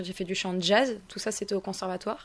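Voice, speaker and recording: A woman talks at a fairly quick pace in a medium pitch. Her intonation stays monotone and flat. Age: 20s. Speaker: singer. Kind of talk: radio interview. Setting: radio studio.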